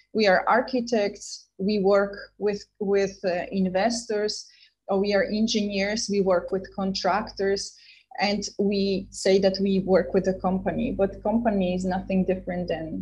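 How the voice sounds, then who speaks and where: In a room with audible echo, a somewhat breathy voice moves at a fairly slow pace in a flat monotone. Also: woman, medium pitch for a woman. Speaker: startup entrepreneur and guest lecturer. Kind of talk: lecture.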